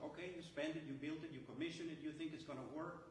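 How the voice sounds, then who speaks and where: A man talks at a fairly quick pace with a fairly high pitch and ordinary pitch variation. Audible room echo and noticeable background noise surround the recording. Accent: American. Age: 70s. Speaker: retired chemical engineer, activist. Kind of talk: press conference speech. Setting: press conference. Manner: animated.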